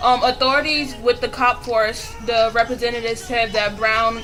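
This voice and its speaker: Over noticeable background noise, a woman speaks with fairly even intonation in a room with audible echo. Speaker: video blogger. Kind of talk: casual commentary. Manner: fast.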